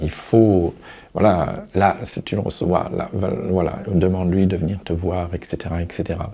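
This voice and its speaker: A man with a very deep, low voice speaks in a flat monotone at a fairly slow pace. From Paris. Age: 60s. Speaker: person living with Alzheimer's disease. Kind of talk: interview answer. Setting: studio.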